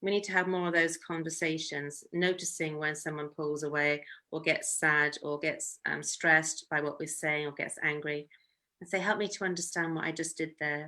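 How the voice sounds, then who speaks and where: On a very clean recording with a silent background, a woman speaks at a moderate pace in a very deep, low voice with a bright, sharp tone and monotone, flat intonation. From Yorkshire, northern England. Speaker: family counsellor. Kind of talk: talk. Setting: live stream.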